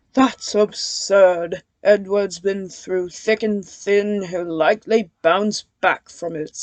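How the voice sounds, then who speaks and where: This is a put-on character voice at a middle pitch. It moves at a very slow pace. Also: hardly any pauses. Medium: read story. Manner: pompous, sniffy.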